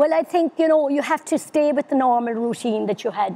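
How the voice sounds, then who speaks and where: A woman with a Cork accent talks at a fairly quick pace with lively intonation. Her tone is dark and mellow, the sound dry and close with no echo. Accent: Irish (Cork). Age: 70s. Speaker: older people's council officer. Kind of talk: interview. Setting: webinar.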